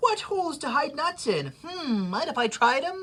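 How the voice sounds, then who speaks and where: A put-on character voice at a high pitch and a moderate pace. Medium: read story.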